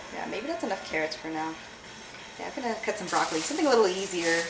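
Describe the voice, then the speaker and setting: A woman at medium pitch, talking at a very fast pace amid audible room echo and noticeable background noise. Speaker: vlogger. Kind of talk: casual vlog while cooking.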